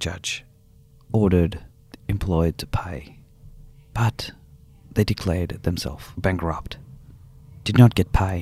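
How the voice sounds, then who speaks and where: A man speaks with a very deep, low pitch and a dark, mellow tone, somewhat breathy. His loudness swings widely, and he leaves long, frequent pauses. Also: ordinary pitch variation. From India. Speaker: former international student and convenience store worker. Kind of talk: testimony.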